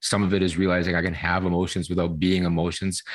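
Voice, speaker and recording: Against a quiet background, a man with a very deep, low pitch speaks at a fairly quick pace in a monotone, flat intonation. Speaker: professor. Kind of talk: interview. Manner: fast.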